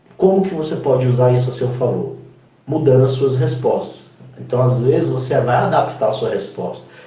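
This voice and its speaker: A man's voice is heard with noticeable background noise and audible room echo. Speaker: HR consultant. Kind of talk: interview on career advice. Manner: fast.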